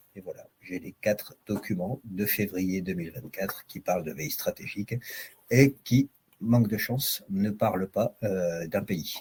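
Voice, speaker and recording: Fairly low-pitched and somewhat breathy, a man talks at a fairly slow pace with ordinary pitch variation in a dry, close sound with no echo. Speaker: software vendor presenter. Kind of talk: product demo.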